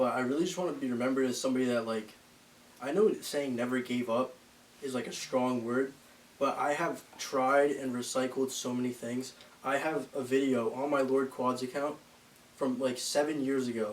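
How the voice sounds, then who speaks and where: A man at a moderate pace, fairly even intonation, with noticeable background noise. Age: 20s. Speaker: bodybuilding content creator. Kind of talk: casual podcast interview.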